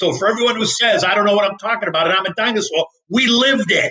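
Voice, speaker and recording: A man with an American accent speaks in a raised, projected voice. His pitch is high. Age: 60s. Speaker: market strategist. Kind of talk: interview.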